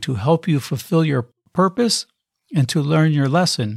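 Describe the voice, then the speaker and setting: The recording is very clean, with a silent background. A man with an ordinary speaking voice talks at a moderate pace and a fairly high pitch. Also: dry, close sound with no echo. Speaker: podcast host. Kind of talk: interview.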